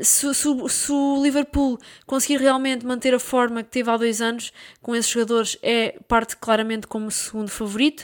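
A high-pitched woman speaks in a European Portuguese accent. Her pace is moderate and her intonation fairly even. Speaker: football podcaster. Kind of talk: solo football commentary podcast. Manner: casual, with hesitations and repetitions.

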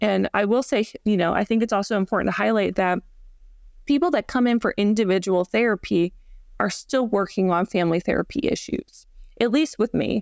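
A woman with an ordinary speaking voice and an American accent talks at a fairly quick pace and medium pitch, with ordinary pitch variation and very even loudness, in a very clean, dry, close recording with no echo and a silent background. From US South, Georgia. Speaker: marriage and family therapist. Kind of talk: interview.

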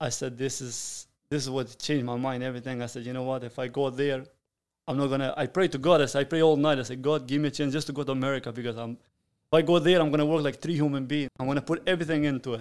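A man with a Sicilian accent, very fast and fairly high-pitched, with fairly even intonation in a very clean recording with a silent background. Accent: Italian (Sicilian) accent in English. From Sicily, Italy. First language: Italian. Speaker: restaurant owner and chef. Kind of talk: interview.

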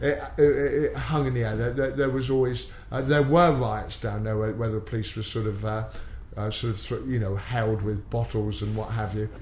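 A man with a West Country accent, medium pitch, ordinary pitch variation and a moderate pace, plus audible room echo. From England, Exeter, Devon. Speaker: MMA coach, former policeman. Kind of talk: interview. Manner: halting, repeats words.

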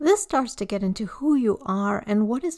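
This woman has a plain, everyday voice at a medium pitch, speaking at a moderate pace with ordinary pitch variation. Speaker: podcast host. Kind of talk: scripted intro and interview.

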